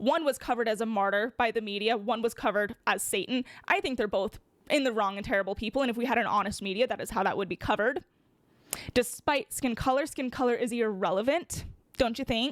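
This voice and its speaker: A woman with a fairly high pitch and an animated tone talks at a very fast pace in a very clean recording with a silent background. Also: ordinary pitch variation. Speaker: political commentator. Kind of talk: commentary monologue. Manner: stuttering.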